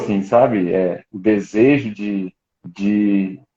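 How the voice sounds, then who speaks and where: The man speaks with a fairly low pitch. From Rio de Janeiro, Brazil. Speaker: ministry school staff member. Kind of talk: live stream interview. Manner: halting, many repetitions.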